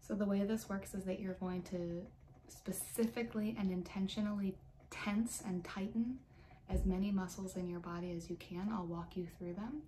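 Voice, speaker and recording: Light background noise sits behind a woman's voice. Her tone is soothing and her intonation fairly even. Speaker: meditation guide. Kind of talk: guided meditation, calm step-by-step muscle tension and release instructions. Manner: calm, instructional, measured, with a gentle, slow pace; casual and friendly in the opening, then soothing and directive. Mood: calm, soothing. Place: home room. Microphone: webcam.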